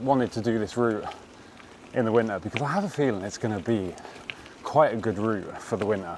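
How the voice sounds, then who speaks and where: With noticeable background noise around him, a man speaks in a lively intonation. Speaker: bikepacking vlogger. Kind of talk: casual vlog talk to camera. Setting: outdoors on bike ride. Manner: relaxed, hesitant with fillers.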